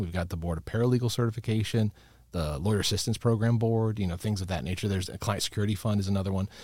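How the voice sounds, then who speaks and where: A man's fairly low, somewhat breathy voice with an American accent and fairly even intonation, on a very clean recording with a silent background. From Chicago suburbs, US Midwest. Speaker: lawyer, bar ethics counsel. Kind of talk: casual interview.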